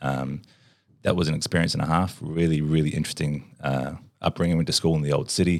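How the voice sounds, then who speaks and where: Speaking at a very fast pace, a man with a very deep, low pitch uses an Australian accent. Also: fairly even intonation. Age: 30s. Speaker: entrepreneur. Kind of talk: casual chat.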